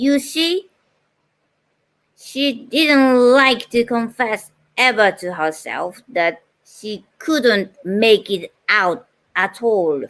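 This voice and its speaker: Speaking in a Japanese accent, a woman goes at a very slow pace with long, frequent pauses. Her fairly high voice has lively intonation. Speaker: voice-over artist. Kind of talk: reading a book passage aloud.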